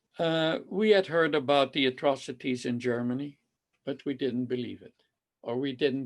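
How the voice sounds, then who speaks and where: In a Dutch accent, a man talks at a moderate pace. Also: quiet background. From Netherlands, Amsterdam. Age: 80s+. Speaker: Holocaust survivor. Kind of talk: testimony. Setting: video call. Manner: halting.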